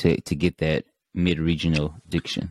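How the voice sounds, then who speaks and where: A man's very deep, low voice, dry and close with no echo, over a quiet background. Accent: Southern US. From Mississippi. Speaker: podcast host. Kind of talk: interview. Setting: video call.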